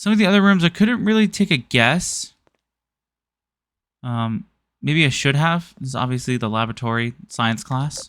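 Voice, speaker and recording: The pace is moderate, broken by long, frequent pauses. The recording is very clean with a silent background. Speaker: gaming YouTuber. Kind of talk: gameplay commentary.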